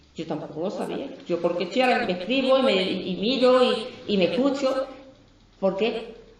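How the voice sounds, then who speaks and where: A woman with an Andalusian accent, fairly high in pitch, with lively intonation at a moderate pace over noticeable background noise. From Andalusia, Dos Hermanas. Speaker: poet and businesswoman. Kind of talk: book presentation talk.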